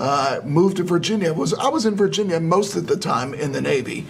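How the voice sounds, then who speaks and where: With an American accent, a man talks at a fairly quick pace amid noticeable background noise and audible room echo. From Chicago. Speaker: political candidate, navy veteran. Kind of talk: interview.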